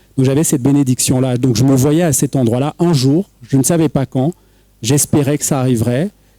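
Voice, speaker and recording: A man speaks at a medium pitch and moderate pace in a dark, mellow tone, with fairly even intonation. His loudness swings widely, and the sound is dry and close with no echo. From Cameroon. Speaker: writer and poet. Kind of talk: panel discussion. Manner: halting.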